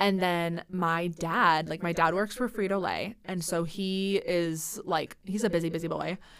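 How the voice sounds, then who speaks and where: A woman's fairly low voice at a fairly slow pace, with fairly even intonation and hardly any pauses. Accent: Midwestern American. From Central Iowa. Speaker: nanny and theater actor. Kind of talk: casual chat.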